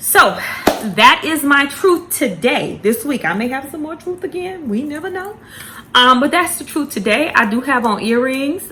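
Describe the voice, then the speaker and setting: With a raised, projected voice and very wide pitch swings, a woman speaks at a fairly slow pace. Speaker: planner vlogger. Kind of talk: candid personal vlog. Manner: halting, many fillers and repeats.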